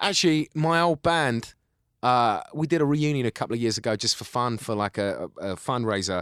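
A man with a Cockney accent talks at a fairly quick pace with lively intonation. The sound is dry and close with no echo, on a very clean recording with a silent background. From East London, England. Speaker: actor and writer. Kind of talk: casual chat. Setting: studio.

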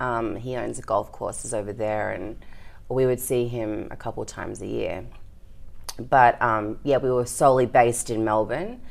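With vocal fry and a very deep, low pitch, a woman talks at a moderate pace in fairly even intonation. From Australia. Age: 30s. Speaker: entrepreneur in events and content production. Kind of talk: casual interview.

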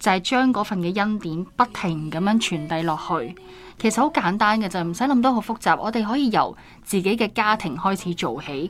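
A woman speaks at a moderate pace with lively intonation. Her pitch is medium, in a normal speaking voice. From Hong Kong. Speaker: podcast host. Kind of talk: Bible study discussion.

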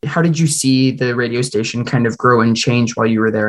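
A man talks at a fairly quick pace and medium pitch. He has an ordinary speaking voice with ordinary pitch variation. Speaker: student radio interviewer. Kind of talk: interview questions.

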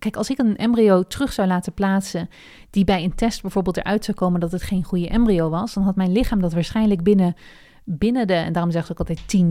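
At a very fast pace, a woman speaks with a medium pitch, fairly even intonation and a dark, mellow tone, in a very clean recording with a silent background. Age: 30s. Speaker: podcast host and online entrepreneur. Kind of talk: solo personal podcast monologue. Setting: at her desk.

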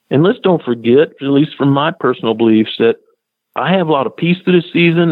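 A man speaks in a normal speaking voice. His pitch sits fairly high and his pace is moderate. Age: 50s. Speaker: wildlife biologist. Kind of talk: radio interview.

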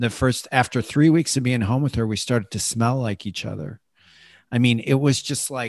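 An unremarkable speaking voice comes from a man with an American accent, medium pitch and ordinary pitch variation, against a quiet background. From Chicago. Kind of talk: interview.

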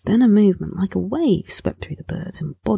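Plain reading aloud makes up this recording.

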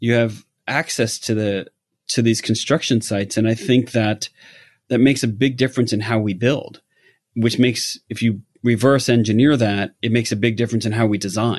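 With an American accent, a man speaks at medium pitch and a fairly quick pace in an ordinary speaking voice. His intonation is fairly even, and the background is quiet. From New York. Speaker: lighting designer. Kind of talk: interview.

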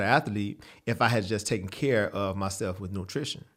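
On a very clean recording with a silent background, a man with an American accent speaks at a moderate pace. He has an unremarkable speaking voice, fairly low in pitch, with ordinary pitch variation. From Texas, San Antonio. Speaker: dietitian and gym owner. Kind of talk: interview.

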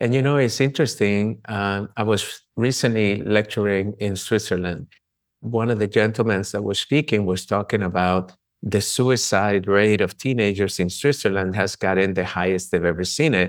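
A man speaks with a Spanish accent. His pitch is fairly low, with ordinary variation. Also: moderate pace. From Colombia. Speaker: chiropractor and author. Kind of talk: casual interview conversation.

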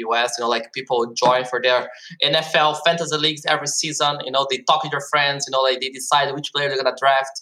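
The speaker has a Portuguese accent and a bright, sharp tone. The pace is very fast. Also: man. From Brazil. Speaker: esports startup co-founder and marketing executive. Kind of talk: casual interview. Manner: animated.

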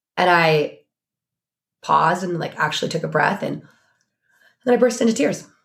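Woman's fairly low voice with vocal fry, lively intonation, and long, frequent pauses. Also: moderate pace. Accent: American. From Oregon. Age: 40s. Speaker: business strategist. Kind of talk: casual chat.

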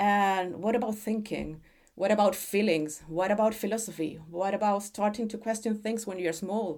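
Speaking with a Chilean accent, a woman of medium pitch keeps a moderate pace. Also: fairly even intonation. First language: Spanish. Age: 40s. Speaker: parent, textile and art specialist. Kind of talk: casual interview conversation. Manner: halting, hesitant with restarts.

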